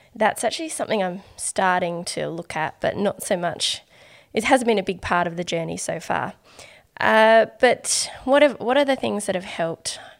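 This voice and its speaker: At a moderate pace, a woman of medium pitch speaks with lively intonation, captured in a very clean recording with a silent background. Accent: Australian. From Australia. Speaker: artist and podcaster. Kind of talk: casual interview chat.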